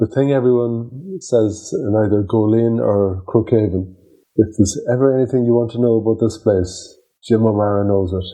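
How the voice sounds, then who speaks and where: A man with an Irish accent speaks at a moderate pace and medium pitch, with a dark, mellow tone and ordinary pitch variation. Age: 50s. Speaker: podcast host. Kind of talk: interview.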